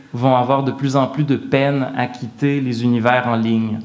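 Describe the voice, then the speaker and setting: Against noticeable background noise, a man with a medium pitch speaks at a very slow pace in a monotone, flat way. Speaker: art historian and professor. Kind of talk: lecture. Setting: stage with audience. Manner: formal.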